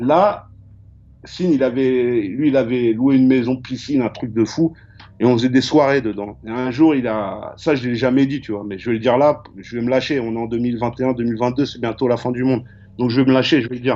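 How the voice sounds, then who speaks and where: A man keeps his intonation fairly even while talking at a moderate pace. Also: medium pitch for a man. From Paris suburbs (Val-de-Marne, Choisy-le-Roi). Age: 40s. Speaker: graffiti artist and painter. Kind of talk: casual interview chat. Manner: halting, repetitive.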